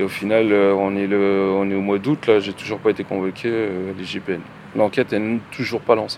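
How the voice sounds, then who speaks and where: This man's voice is fairly low in pitch. He speaks at a moderate pace with monotone, flat intonation. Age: 40s. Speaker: factory worker, injured protester. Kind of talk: testimony.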